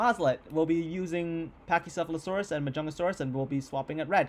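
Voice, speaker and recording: This man has a fairly high pitch and ordinary pitch variation. His tone is energetic. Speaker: YouTuber hosting a game tournament. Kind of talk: casual video commentary. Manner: fast; casual, energetic.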